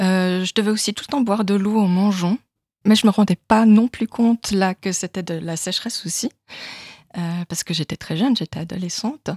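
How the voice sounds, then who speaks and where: Somewhat breathy and at medium pitch, a woman speaks at a moderate pace with ordinary pitch variation, the sound dry and close with no echo on a very clean recording with a silent background. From Switzerland, canton of Vaud. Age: 40s. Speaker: patient. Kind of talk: testimony. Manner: hesitant.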